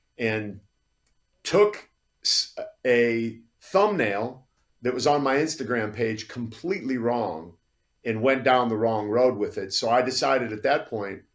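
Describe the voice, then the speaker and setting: A medium-pitched man speaks at a fairly slow pace with lively intonation. He takes long, frequent pauses. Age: 60s. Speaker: fitness model and podcast host. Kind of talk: podcast interview.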